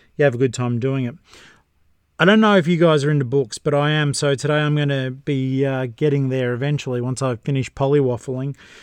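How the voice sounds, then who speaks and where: In an Australian accent, a man talks very fast at a fairly high pitch with fairly even intonation, the sound dry and close with no echo. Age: 50s. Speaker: podcast host and book reviewer. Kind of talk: casual solo review monologue.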